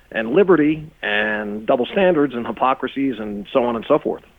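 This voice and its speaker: A man with an American accent and an ordinary speaking voice, medium pitch, ordinary pitch variation and a moderate pace. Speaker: talk radio host. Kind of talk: radio interview. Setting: studio.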